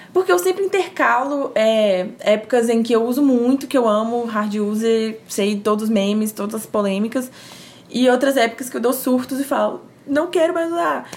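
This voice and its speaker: With a slight mineiro accent, a woman speaks at a moderate pace and a fairly high pitch amid noticeable background noise. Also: lively intonation. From Minas Gerais, Brazil (Timóteo, interior). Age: 20s. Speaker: communication graduate, churchgoer. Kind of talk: casual chat.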